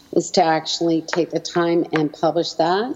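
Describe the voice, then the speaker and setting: A woman with a Canadian accent speaks at a fairly slow pace over noticeable background noise. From Canada, Edmonton, Alberta. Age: 60s. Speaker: educator and small business owner. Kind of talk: interview.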